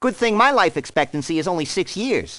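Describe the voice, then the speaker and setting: Using a put-on character voice, a man talks at a fairly quick pace. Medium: dub. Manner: sarcastic, wisecracking.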